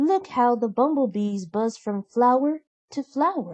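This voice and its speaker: Speaking in a put-on character voice, a woman keeps her pitch high. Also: fairly slow pace. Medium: read story. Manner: gentle, warm.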